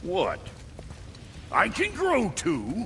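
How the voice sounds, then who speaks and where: A gruff, put-on character voice carries the lines. Background noise is clearly audible. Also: man. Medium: video game. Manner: gruff, cranky.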